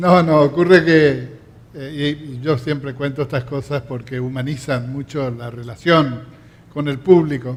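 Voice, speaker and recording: Somewhat breathy speech at a fairly slow pace, with fairly even intonation and big swings in loudness. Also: man, fairly high pitch for a man. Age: 70s. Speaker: festival emcee. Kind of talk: stage hosting. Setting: theatre stage with audience. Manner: formal.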